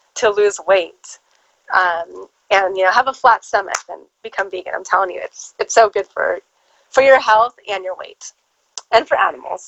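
With a Californian accent, a woman speaks at a medium pitch. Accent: Californian American. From Southern California. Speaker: actress and publicist. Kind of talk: casual interview.

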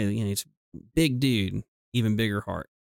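With a Southern US accent, this man talks at medium pitch and moderate pace with fairly even intonation, in a dry, close sound with no echo. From US South. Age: 30s. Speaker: nurse. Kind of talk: casual chat.

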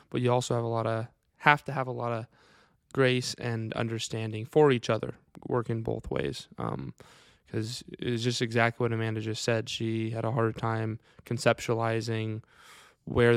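The man has a Midwestern US accent and a medium pitch, speaking in a monotone, flat way at a moderate pace. The recording is very clean, with a silent background. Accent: US Midwest. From Iowa, Wright County. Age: 20s. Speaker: grass-fed beef farmer. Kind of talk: casual chat. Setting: recorded on a laptop.

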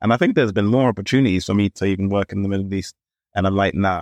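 Speaking fairly quickly with a London accent and ordinary pitch variation, a man is heard in a dry, close sound with no echo against a quiet background. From London (Camden). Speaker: podcast co-host. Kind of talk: casual chat.

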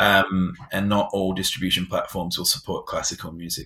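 On a very clean recording with a silent background, a man speaks with an English accent. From England. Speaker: tech startup founder and former musician. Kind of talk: interview.

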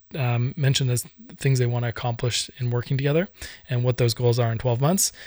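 In an Irish accent, a man speaks at a fairly quick pace and medium pitch, somewhat breathy, with fairly even intonation. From Ireland. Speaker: podcast host and business consultant. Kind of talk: solo podcast monologue. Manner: hesitant, many fillers and repeats.

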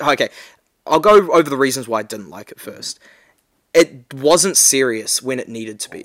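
A man at a moderate pace with lively intonation and long, frequent pauses, in a dry, close sound with no echo. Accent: New Zealand. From New Zealand, Whangarei. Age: 20s. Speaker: podcast co-host. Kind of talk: casual chat. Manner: halting.

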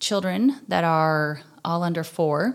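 A woman with an Upper Midwest accent at a very slow pace, in a very clean recording with a silent background. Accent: Upper Midwest American. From southwestern Minnesota. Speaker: podcast host. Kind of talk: testimony.

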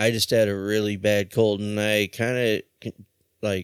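A man speaks in a relaxed tone at a fairly slow pace, his pitch fairly low. The sound is dry and close with no echo, on a very clean recording with a silent background. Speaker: radio host. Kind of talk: radio DJ patter, casual punk radio banter with profanity. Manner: relaxed, jokey, laughing.

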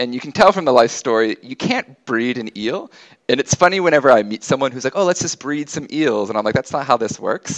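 An unremarkable speaking voice from a man with an American accent, medium in pitch with lively intonation, dry and close with no echo. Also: fairly quick pace. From United States. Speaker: geographer and ecologist. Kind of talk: casual interview.

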